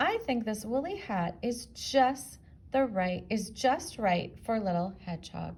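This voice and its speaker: A woman does a put-on character voice, gruff and growling at a fairly high pitch. She speaks at a fairly slow pace with lively intonation. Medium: read story.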